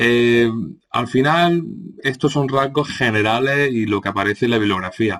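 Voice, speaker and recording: Against a quiet background, a man with a bright, sharp tone talks at medium pitch and a moderate pace, his pitch varying in an ordinary way. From Andalusia, Córdoba. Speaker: teacher. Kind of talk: lecture. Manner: hesitant, many fillers.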